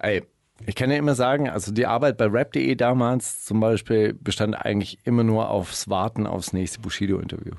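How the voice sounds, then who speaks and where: A man speaks at a moderate pace in a fairly low voice, his pitch varying in an ordinary way. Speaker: radio host. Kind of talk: casual chat. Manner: animated.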